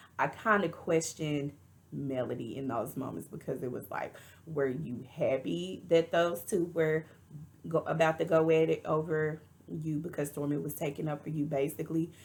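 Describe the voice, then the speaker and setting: A woman's very deep, low voice with a Texas accent and fairly even intonation. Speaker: reality TV reviewer. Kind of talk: casual commentary.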